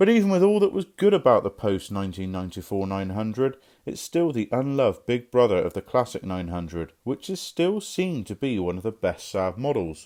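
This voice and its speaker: On a very clean recording with a silent background, a man at a medium pitch makes very wide pitch swings. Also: fairly quick pace. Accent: Somerset. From Somerset, England. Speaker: car mechanic presenting a restoration video. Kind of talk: scripted narration.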